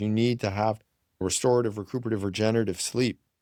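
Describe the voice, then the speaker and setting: A man's medium-pitched, ordinary speaking voice, ordinary pitch variation, dry and close with no echo, on a very clean recording with a silent background. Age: 60s. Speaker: physician. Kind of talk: interview.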